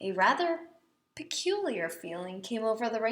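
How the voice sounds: Quiet background behind a natural reading voice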